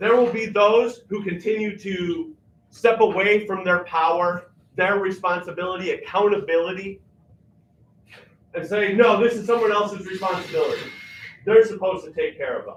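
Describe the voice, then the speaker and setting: Loud and high-pitched, a man speaks with fairly even intonation. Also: moderate pace. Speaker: featured artist. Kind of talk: impassioned speech to a live audience. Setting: church basement community gathering with audience. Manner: emphatic.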